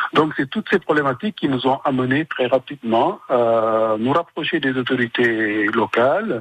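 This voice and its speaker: A man with a normal speaking voice talks at a moderate pace and medium pitch, his intonation lively and hardly any pauses between words. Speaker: association founder. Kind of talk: radio interview.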